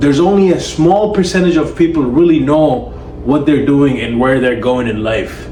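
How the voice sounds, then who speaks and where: A man speaks at a moderate pace and fairly high pitch with ordinary pitch variation, backed by audible room echo and noticeable background noise. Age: young. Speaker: self-help coach. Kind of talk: motivational monologue.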